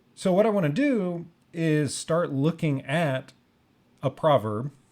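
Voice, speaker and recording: This recording is very clean, its background silent. The man's pitch varies in an ordinary way. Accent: American. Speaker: music teacher. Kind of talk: tutorial. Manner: unscripted, halting with fillers.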